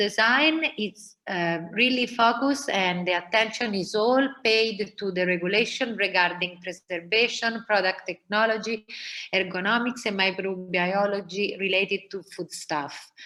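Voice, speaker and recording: With an Italian accent, a woman talks at a moderate pace with hardly any pauses, her medium pitch varying in an ordinary way. Her tone is bright and sharp, and the recording is very clean with a silent background. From Italy (Rome). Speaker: food designer. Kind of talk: presentation.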